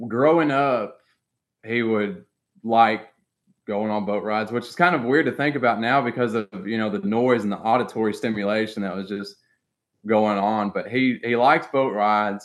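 Against a quiet background, a man with an American accent speaks in a normal speaking voice, medium in pitch with ordinary pitch variation, at a moderate pace. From US South (Arkansas). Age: 20s. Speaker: teacher. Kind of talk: casual chat.

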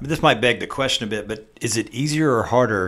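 Very fast talk from a man with ordinary pitch variation. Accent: Southern US. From US South. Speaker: podcast host. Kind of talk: casual podcast interview.

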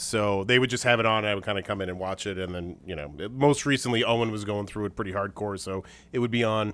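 A man speaks at a fairly quick pace in a fairly low pitch. It is a plain, everyday voice with ordinary pitch variation. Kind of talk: casual chat.

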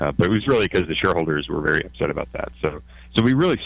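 A man speaks with vocal fry. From Canada. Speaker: hedge fund founder. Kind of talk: interview. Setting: remote from office.

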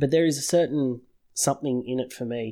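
On a very clean recording with a silent background, a man with an Australian accent and a dark, mellow tone talks at a fairly quick pace with ordinary pitch variation. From Sydney, Australia. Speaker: podcast host. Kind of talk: casual chat.

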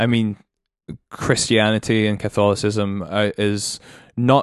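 Against a quiet background, a man with a Scottish accent speaks at a fairly slow pace and fairly low pitch, with fairly even intonation and a dry, close sound with no echo. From Scotland, Edinburgh. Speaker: businessman and musician. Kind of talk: casual chat.

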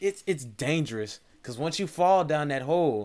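Recorded very cleanly against a silent background, a normal speaking voice moves at a fairly quick pace. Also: man. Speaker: podcast host. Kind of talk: casual chat.

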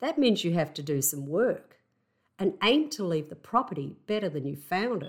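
At a moderate pace, a woman's voice swings very widely in pitch on a very clean recording with a silent background. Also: medium pitch for a woman. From Australia. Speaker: house sitter podcaster. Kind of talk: solo podcast monologue, personal storytelling. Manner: conversational, reflective.

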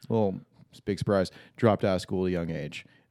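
Against a quiet background, a man with a fairly low, dark and mellow voice speaks with ordinary pitch variation. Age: 30s. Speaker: skydiving instructor. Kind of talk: casual chat. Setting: studio.

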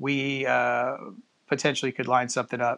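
This man has an American accent and a medium pitch. His tone is fairly bright.

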